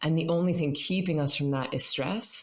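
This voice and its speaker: A woman's very deep, low voice at a very fast pace, with noticeable background noise and audible room echo. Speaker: meditation teacher. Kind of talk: interview. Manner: animated.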